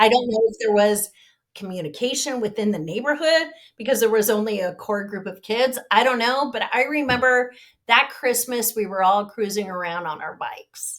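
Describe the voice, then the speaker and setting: A woman with an American accent, fairly high in pitch with ordinary pitch variation, at a moderate pace. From Southern California, US. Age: 50s. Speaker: victim's sister, speaker on depression. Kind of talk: casual interview chat.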